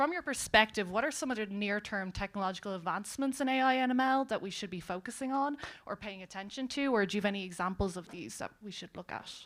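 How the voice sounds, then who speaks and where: Speaking very fast with hardly any pauses, a woman with an Irish accent uses a medium pitch, lively intonation and big swings in loudness. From Ireland. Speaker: panel moderator. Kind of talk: panel moderation. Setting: stage with audience.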